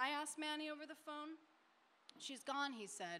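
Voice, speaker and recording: A woman speaks in a raised, projected voice with lively intonation and a bright, sharp tone. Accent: American. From Denver, Colorado. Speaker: short story writer. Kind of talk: panel discussion; reading aloud. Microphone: podium.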